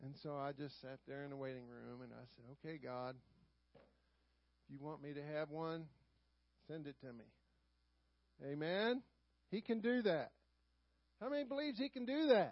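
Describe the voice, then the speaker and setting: Speaking in a Southern US accent, a man with a fairly high voice uses lively intonation, big swings in loudness and long, frequent pauses. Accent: Southern US drawl. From US South. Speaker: Sunday school teacher. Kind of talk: sermon. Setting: church.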